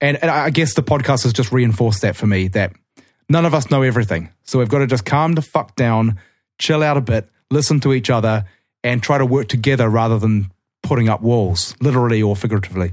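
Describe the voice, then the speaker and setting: A man's medium-pitched voice with a New Zealand accent, at a very fast pace, with ordinary pitch variation and very even loudness, on a very clean recording with a silent background. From Auckland, New Zealand. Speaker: guitarist and songwriter.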